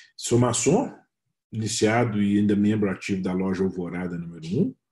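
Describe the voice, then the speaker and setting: He speaks at a moderate pace. A somewhat breathy quality marks the man's voice. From Minas Gerais, Brazil. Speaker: freemason official, speaker. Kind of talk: webinar presentation. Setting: video call webinar.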